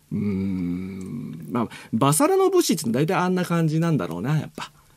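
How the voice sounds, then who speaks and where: Very wide pitch swings in a fairly high male voice. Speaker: radio host and voice actor. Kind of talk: casual radio talk.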